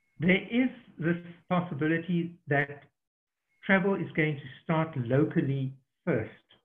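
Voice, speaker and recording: A high-pitched man with a South African accent, at a fairly slow pace with long, frequent pauses. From southern Africa. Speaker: safari tour operator. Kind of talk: online Q&A webinar. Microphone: connection dropped briefly.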